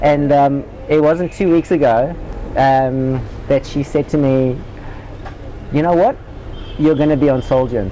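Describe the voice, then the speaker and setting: Noticeable background noise sits behind a man with a fairly high pitch and fairly even intonation. He talks at a fairly slow pace with long, frequent pauses. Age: 40s. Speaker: spiritual seeker and former tennis player. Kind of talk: interview.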